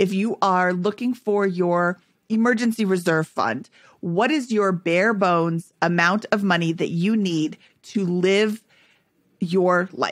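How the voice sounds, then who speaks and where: The voice moves at a very slow pace with very even loudness, a dry sound with no echo, and a quiet background. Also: woman, ordinary pitch variation. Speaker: podcast co-host. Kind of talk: casual interview chat. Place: home room. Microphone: studio mic.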